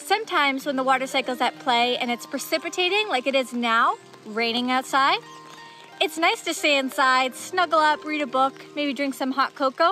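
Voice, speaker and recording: Projecting her raised voice at a moderate pace, a woman is heard in a dry, echo-free sound with faint music behind her. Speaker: naturalist educator. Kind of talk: educational talk to kids. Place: rain. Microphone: phone near.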